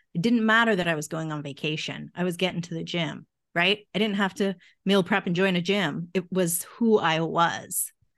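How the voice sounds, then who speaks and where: A woman talks in a plain, everyday voice, fairly low in pitch, at a moderate pace. Her intonation is fairly even, and the background is quiet. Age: 50s. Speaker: mindset coach and author. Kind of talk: interview.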